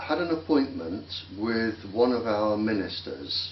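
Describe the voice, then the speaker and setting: A man's medium-pitched voice with lively intonation at a very slow pace, amid noticeable background noise and audible room echo. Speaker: interviewee on radiation health risks. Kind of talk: interview.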